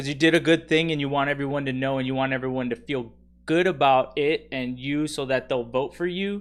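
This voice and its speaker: With an American accent and an ordinary speaking voice, a man talks fairly quickly at a fairly high pitch with fairly even intonation. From Texas. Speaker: political commentator. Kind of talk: casual commentary.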